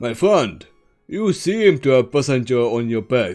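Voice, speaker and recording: A man's put-on character voice, medium in pitch and moderate in pace, over faint music in the background. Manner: mysterious, echoing.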